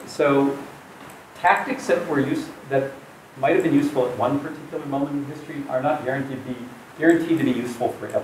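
Light background noise and audible room echo surround a man with a fairly high pitch. He speaks at a fairly quick pace. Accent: American. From US. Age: 60s. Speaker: professor. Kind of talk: public talk. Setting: stage with audience. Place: meeting room. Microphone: camera far.

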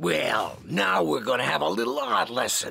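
A man performs a cartoonish character voice. It sits at a medium pitch. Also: moderate pace. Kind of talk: cartoon comic voice acting. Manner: wisecracking, tough-guy swagger.

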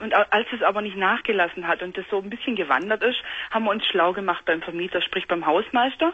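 A woman talks at a fairly quick pace in an ordinary speaking voice. Her pitch is medium and varies in an ordinary way. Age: 20s. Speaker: caller. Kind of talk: phone-in talk. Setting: phone call. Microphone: phone line.

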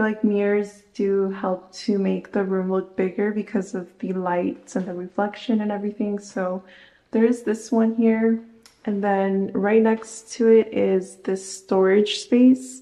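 A woman speaks at a fairly slow pace in a monotone, flat delivery, with audible room echo. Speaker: home vlogger. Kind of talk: casual vlog chat. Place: home room. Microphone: phone near.

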